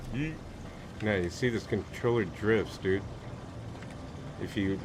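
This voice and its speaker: A soft-spoken man, fairly low in pitch with ordinary pitch variation, at a moderate pace amid audible room echo and noticeable background noise. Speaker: gamer streamer. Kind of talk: casual chat. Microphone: too quiet under game audio.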